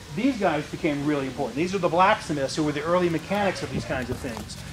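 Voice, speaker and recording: A man speaks loudly at a high pitch, with ordinary pitch variation. Noticeable background noise can be heard. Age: 50s. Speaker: museum tour guide. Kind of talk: guided tour for school children.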